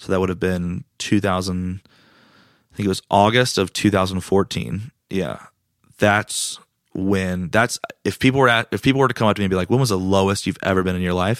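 Recorded dry and close with no echo against a silent background, a very clean take carries a fairly quick voice with an American accent and ordinary pitch variation. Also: man, very deep, low pitch for a man. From US South, Raleigh, North Carolina. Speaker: comedian. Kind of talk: casual chat.

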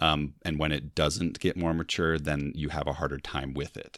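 A man speaks at a fairly quick pace with a very deep, low pitch and vocal fry. His intonation stays fairly even on a very clean recording with a silent background. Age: 30s. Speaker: podcast guest, fan. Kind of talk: casual chat.

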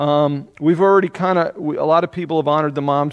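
A man with a fairly high pitch, ordinary pitch variation and a normal speaking voice. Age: 50s. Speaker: pastor. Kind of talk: sermon.

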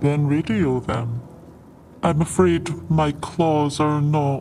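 Over clear background noise, a man uses a put-on character voice, fairly high for a man, and speaks very slowly. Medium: actual play. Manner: formal, careful.

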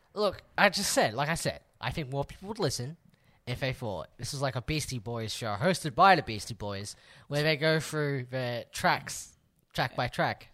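Recorded very cleanly against a silent background, a man speaks at a moderate pace with lively intonation. His tone is bright and sharp, and his pitch is fairly high. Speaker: podcast host. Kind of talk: casual banter podcast.

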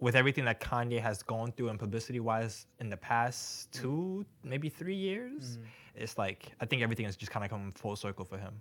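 Recorded very cleanly over a silent background, a man with an American accent talks in an unremarkable speaking voice at medium pitch and a fairly quick pace, with hardly any pauses. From New York. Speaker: podcast co-host. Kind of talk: casual chat.

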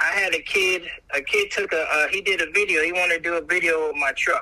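A man talks at a fairly quick pace against noticeable background noise. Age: 40s. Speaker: clothing brand founder. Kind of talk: casual chat.

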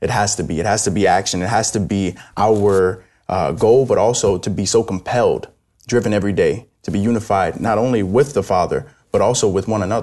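In an American accent, a man with an unremarkable speaking voice talks fairly quickly at a fairly low pitch, with ordinary pitch variation. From New York City. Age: young. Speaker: Salvation Army officer. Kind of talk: religious discussion.

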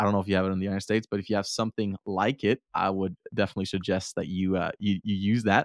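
A man with a fairly low voice races at a very fast pace in a monotone, flat intonation with hardly any pauses over a quiet background. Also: dry, close sound with no echo. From Denmark. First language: Danish. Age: 20s. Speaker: student and podcaster. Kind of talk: interview.

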